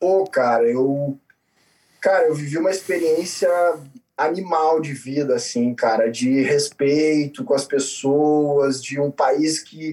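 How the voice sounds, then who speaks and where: Very slow and dark, mellow in tone, a man's voice holds a fairly high pitch with ordinary pitch variation. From southern Brazil (Florianópolis, then Rio Grande do Sul). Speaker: surf startup founder. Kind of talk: casual interview.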